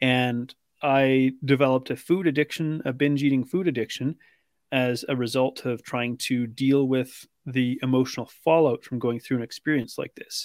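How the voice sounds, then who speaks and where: With a Canadian accent, a man speaks in an ordinary speaking voice at a medium pitch and moderate pace, with fairly even intonation, in a dry, close sound with no echo and a very clean recording with a silent background. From British Columbia, Canada. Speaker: weight loss coach. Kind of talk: interview.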